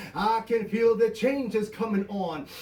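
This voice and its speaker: Noticeable background noise accompanies a man talking at a fairly slow pace with ordinary pitch variation. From Canada. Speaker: performance poet. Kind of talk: spoken word poetry performance.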